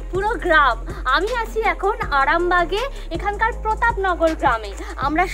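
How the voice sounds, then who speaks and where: A woman's raised, projected voice over clear background music. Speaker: travel vlogger. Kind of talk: casual vlog chat. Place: street. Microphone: lapel.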